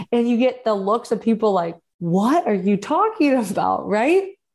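Against a quiet background, a woman is speaking. Her intonation is lively. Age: 30s. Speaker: podcast host, life coach. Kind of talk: personal storytelling monologue.

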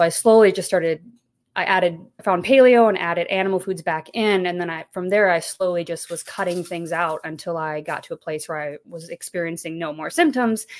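A woman with a normal speaking voice and an American accent talks at a fairly quick pace, her fairly low pitch varying in an ordinary way. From Texas. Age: 30s. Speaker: YouTube content creator, stay-at-home mom. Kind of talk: interview conversation.

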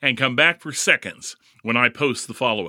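With an American accent, this voice has a bright, sharp tone and a moderate pace, captured dry and close with no echo in a very clean recording with a silent background. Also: man. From US Midwest (Indianapolis). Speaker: podcast host. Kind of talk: scripted narration.

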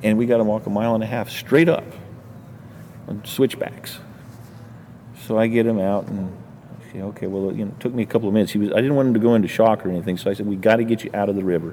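Over noticeable background noise, a man with a fairly low voice talks very fast with fairly even intonation, broken by long, frequent pauses. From New Mexico. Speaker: fishing guide. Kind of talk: interview.

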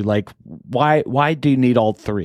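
A man with a plain, everyday voice talks at a moderate pace with ordinary pitch variation, in a very clean recording with a silent background and a dry, close sound with no echo. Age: 40s. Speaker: business podcast host. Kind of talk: casual interview chat.

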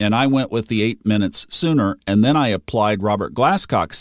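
A man speaks in a normal speaking voice at medium pitch and a moderate pace, with ordinary pitch variation, on a very clean recording with a silent background and a dry, close sound without echo. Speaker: astrology podcast host. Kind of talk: podcast answering listener question. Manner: informal, conversational.

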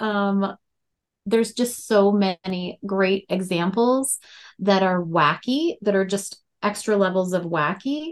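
A woman with an Upper Midwest accent speaks at a very slow pace and medium pitch. Her loudness stays very even, with ordinary pitch variation. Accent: Upper Midwest, Fargo-style. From North Dakota. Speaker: horror author. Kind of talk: interview.

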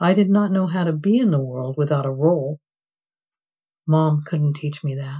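The speaker goes at a moderate pace with long, frequent pauses, a somewhat breathy sound and ordinary pitch variation. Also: woman, very deep, low pitch for a woman. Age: old. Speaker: memoir author. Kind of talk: reading aloud.

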